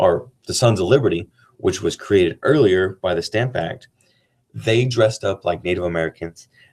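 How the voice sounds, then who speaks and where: At a moderate pace, a man speaks in a somewhat breathy voice with a fairly low pitch. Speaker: teacher. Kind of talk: casual chat; lecture. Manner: monotone.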